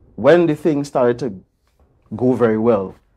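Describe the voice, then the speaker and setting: A man's dark, mellow voice at a fairly slow pace. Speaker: interview guest. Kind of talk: interview answer. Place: studio. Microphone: lapel.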